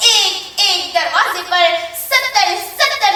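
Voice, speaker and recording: A woman with an extremely high pitch uses a raised, projected voice over noticeable background noise. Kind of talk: formal religious speech to an audience. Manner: emotional, declamatory.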